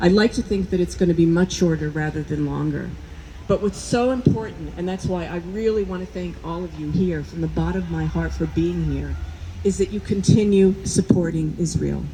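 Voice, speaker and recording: Woman with a New Jersey accent at a moderate pace, over noticeable background noise. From US Northeast, New Jersey. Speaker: medical school dean, scientist. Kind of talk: rally speech. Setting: outdoor rally with crowd.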